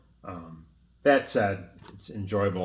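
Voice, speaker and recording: Audible room echo surrounds a man whose pitch sits fairly low. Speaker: horror film collector. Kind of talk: casual chat. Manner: casual, hesitant with fillers.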